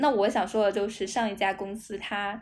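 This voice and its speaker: At a moderate pace, a woman with a medium pitch talks in a normal speaking voice. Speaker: state-owned company office worker. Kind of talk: casual chat.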